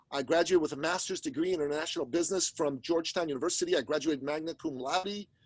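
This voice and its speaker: A man speaks in an animated tone. His pace is very fast. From Iran. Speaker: business coach and podcaster. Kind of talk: podcast interview.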